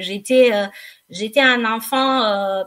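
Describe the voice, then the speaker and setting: At a very slow pace, a woman talks in a fairly high voice with fairly even intonation. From Romania, Craiova (south). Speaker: slimming practitioner. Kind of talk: radio interview. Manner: hesitant, many fillers.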